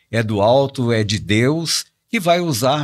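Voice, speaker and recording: The voice moves at a very slow pace, with very wide pitch swings. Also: man. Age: 70s. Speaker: pastor and elder-care institute leader. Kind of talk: podcast interview. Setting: studio.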